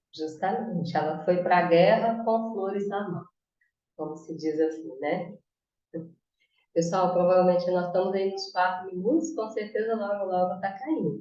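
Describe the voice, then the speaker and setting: Moving fairly slowly, the speech carries a dark, mellow tone, with pitch rising and falling in an ordinary way. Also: woman, medium pitch for a woman. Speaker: spiritist study presenter. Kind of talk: study talk on video call.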